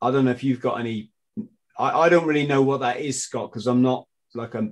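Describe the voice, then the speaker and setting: With fairly even intonation, a male voice speaks in a British accent. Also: quiet background. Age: 50s. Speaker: podcast host, former Royal Marine; podcast host. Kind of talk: casual interview. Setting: video call. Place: home room. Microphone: video call.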